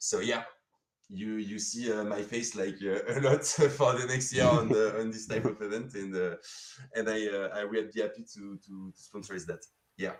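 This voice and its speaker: Speaking with a French accent, a man keeps a fairly low pitch and fairly even intonation while his loudness swings widely. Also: moderate pace. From France. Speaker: sponsor representative. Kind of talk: live stream interview. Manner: halting, many fillers.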